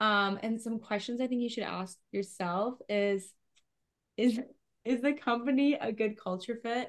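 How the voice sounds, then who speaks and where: In a Canadian accent, a woman with an unremarkable speaking voice talks fairly slowly, her fairly high pitch held in fairly even intonation. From Canada. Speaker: podcast co-host, remote worker. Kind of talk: casual chat.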